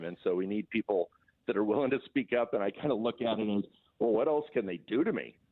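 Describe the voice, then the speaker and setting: An unremarkable speaking voice from a man with an American accent, medium in pitch and fairly quick in pace. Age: 60s. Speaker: political activist. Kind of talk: radio interview.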